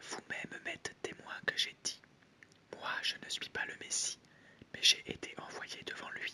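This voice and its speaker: Whispering at a fairly slow pace with long, frequent pauses, the speaker is heard over noticeable background noise. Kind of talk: whispered Bible reading for sleep. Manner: whispered.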